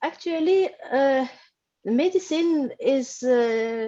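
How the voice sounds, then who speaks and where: Her tone is dark and mellow, and this woman's pitch sits high. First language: not English (studied in French). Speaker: paediatrician and course student. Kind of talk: interview. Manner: halting.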